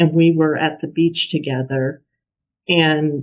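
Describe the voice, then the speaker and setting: A woman speaks fairly slowly with fairly even intonation. Her pitch is very deep and low. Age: 60s. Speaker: poet. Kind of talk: casual explanation; poetry reading. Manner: hesitant, with fillers.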